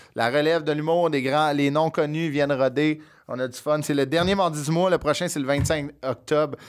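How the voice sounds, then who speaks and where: With a Quebec accent, a man speaks at a moderate pace. His intonation is fairly even, and the background is quiet. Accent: Québécois French. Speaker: podcast host. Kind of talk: casual chat. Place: studio. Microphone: studio mic.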